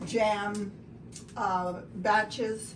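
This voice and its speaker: There is noticeable background noise behind the woman who is talking. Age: 80s+. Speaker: home baker. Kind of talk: tutorial. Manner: halting.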